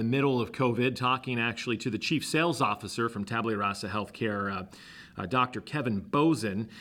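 A man speaks in a normal speaking voice at medium pitch, with ordinary pitch variation. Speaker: podcast host. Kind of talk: interview, podcast host.

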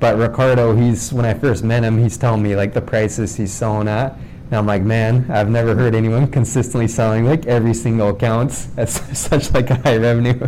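With hardly any pauses, a man speaks at medium pitch and fairly even intonation. Noticeable background noise is present. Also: fairly quick pace. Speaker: podcast host. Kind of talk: casual interview. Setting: office.

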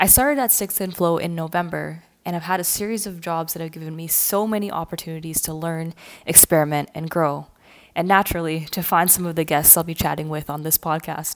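A woman with a plain, everyday voice in a Canadian accent, fairly low in pitch, at a fairly quick pace with fairly even intonation. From Canada, near Toronto. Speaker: podcast host and marketer. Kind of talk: scripted podcast introduction.

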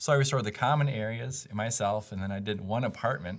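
Speaking fairly quickly, a man with an American accent has an unremarkable speaking voice at a medium pitch with ordinary pitch variation. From various parts of the US. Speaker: property developer. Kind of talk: casual interview.

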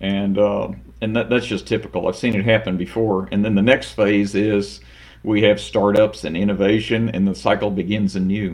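At a moderate pace, a man with a plain, everyday voice speaks at fairly low pitch with ordinary pitch variation. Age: 60s. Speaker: automation company president. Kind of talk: interview.

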